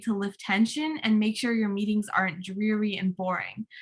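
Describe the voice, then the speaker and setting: A woman is speaking. Her voice sits at a fairly high pitch. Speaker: youth leadership workshop presenter. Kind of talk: online workshop presentation. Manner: fast; animated.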